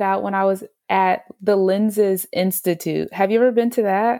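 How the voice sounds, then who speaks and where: In an American accent, a woman with a plain, everyday voice speaks at a fairly slow pace with ordinary pitch variation. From Texas, Houston. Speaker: chemistry PhD student. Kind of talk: interview.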